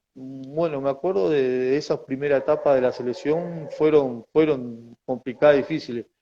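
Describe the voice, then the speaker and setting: In a Uruguayan accent, the voice runs on with hardly any pauses in a dark, mellow tone. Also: man, fairly high pitch for a man, fairly even intonation, moderate pace. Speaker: former footballer. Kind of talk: interview. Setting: video call. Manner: halting.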